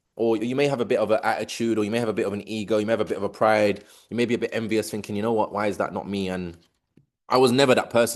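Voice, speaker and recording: A man with a London accent, animated in tone, at a very fast pace against a quiet background. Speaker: business community leader. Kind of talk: video call hosting. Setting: video call.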